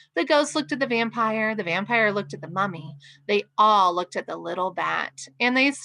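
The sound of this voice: Reading voice, unforced.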